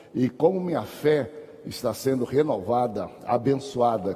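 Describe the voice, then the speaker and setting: A man with an unremarkable speaking voice at medium pitch. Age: 60s. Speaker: pastor and Sunday school teacher. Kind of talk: Bible class lecture. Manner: conversational.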